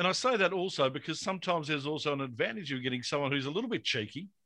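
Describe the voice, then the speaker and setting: A man with an Australian accent, fairly high-pitched and bright, sharp in tone, talking at a very fast pace with ordinary pitch variation against a quiet background. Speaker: podcast host. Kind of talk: casual chat.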